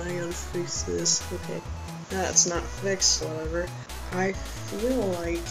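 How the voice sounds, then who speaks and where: Clear music plays in the background while the speaker goes at a fairly slow pace. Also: man. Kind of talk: casual talk to camera. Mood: unsure, reflective. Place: home room. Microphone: webcam.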